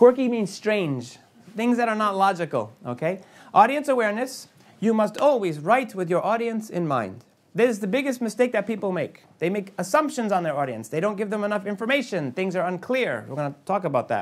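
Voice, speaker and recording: A high-pitched man talks with a New England accent at a fairly quick pace. His tone is animated and his intonation lively. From New England, US. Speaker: university writing program director. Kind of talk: workshop lecture. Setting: workshop room with audience. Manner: fast.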